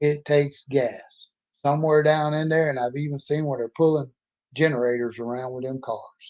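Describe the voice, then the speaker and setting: Monotone and flat, a man in a Southern US accent speaks at a moderate pace with a fairly high pitch. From Mississippi. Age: 60s. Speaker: author and oil field worker. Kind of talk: personal monologue vlog. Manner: emphatic, can get loud.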